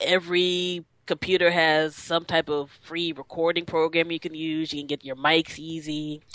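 Against a quiet background, an ordinary speaking voice moves at a moderate pace. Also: woman. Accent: American. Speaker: podcaster and DJ. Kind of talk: interview chat.

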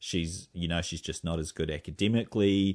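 Very deep and low, a man's voice with a New Zealand accent moves at a moderate pace with ordinary pitch variation. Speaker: running podcast host. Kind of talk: casual chat.

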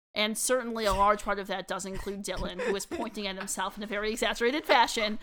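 Over noticeable background noise, a woman speaks at a very fast pace and medium pitch with ordinary pitch variation. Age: 30s. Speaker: podcast co-host. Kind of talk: casual chat.

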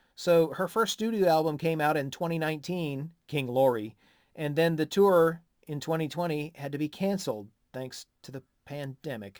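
Lively in intonation and fairly high in pitch, a man talks at a moderate pace with an American accent. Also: very clean recording, silent background. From USA. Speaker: music podcast co-host. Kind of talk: casual chat.

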